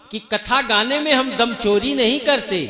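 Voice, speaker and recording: Over noticeable background noise, a man talks in a raised, projected voice at an extremely high pitch. His pitch varies in an ordinary way. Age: 60s. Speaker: kathavachak (religious storyteller/preacher). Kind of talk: religious discourse (katha).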